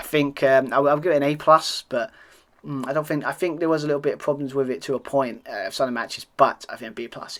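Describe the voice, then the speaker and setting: A man with a British accent. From Britain. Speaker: wrestling podcast host. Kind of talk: solo review monologue. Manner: halting.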